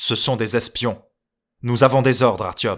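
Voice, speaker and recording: In a growling, put-on character voice, a man speaks at medium pitch and a moderate pace with fairly even intonation, on a very clean recording with a silent background. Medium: read story. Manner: calm, unflappable.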